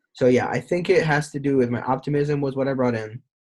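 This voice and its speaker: Somewhat breathy, a man talks at a fairly quick pace on a very clean recording with a silent background. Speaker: podcast host, former salesperson. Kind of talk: casual interview chat. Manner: fast.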